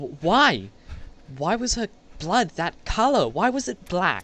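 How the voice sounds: A man's put-on character voice, high and bright with a sharp edge, slow in pace with big pitch swings.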